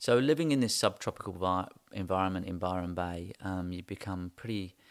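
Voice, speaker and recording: A man's very deep, low voice with an English accent, at a fairly quick pace. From England. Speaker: architect. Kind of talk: interview. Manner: hesitant, many ums.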